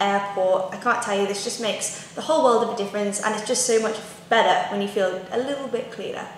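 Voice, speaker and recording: With light background noise and audible room echo, a woman talks with fairly even intonation. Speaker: lifestyle vlogger. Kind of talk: casual vlog tips. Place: kitchen.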